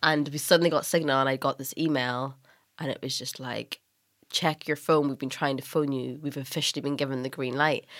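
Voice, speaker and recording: A woman with a Northern Irish accent talks at a fairly quick pace in a very deep, low, monotone voice, flat in intonation, in a very clean recording with a silent background. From Northern Ireland. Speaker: writer, stylist and documentary maker. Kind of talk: casual interview chat.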